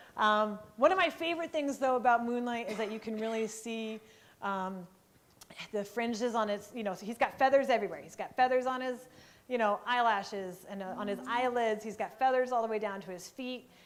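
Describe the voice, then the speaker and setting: The voice is loud. It comes with an American accent. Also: woman, fairly high pitch for a woman, ordinary pitch variation, fairly quick pace. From eastern US. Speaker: park ranger and wildlife rehab volunteer. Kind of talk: presentation to a live audience. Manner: casual, many fillers.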